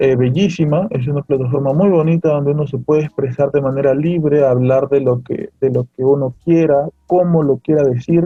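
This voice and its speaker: Somewhat breathy delivery, fairly even intonation, moderate pace, hardly any pauses. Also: man, fairly high pitch for a man. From Peru. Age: 30s. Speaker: artist and podcaster. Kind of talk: interview. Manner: halting.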